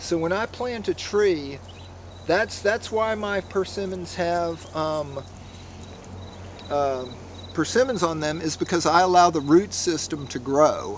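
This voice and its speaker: A man's high-pitched voice at a fairly slow pace, with ordinary pitch variation and long, frequent pauses. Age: 60s. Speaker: fruit grower. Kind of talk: casual walkthrough tutorial. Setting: outdoors. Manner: halting, many fillers.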